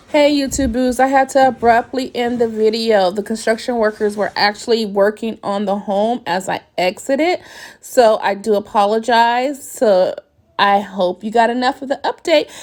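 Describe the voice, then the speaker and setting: Here a woman talks at a moderate pace. Her pitch is fairly high and varies in an ordinary way. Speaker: vlogger documenting her new home build. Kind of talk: home tour vlog. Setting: inside a house under construction.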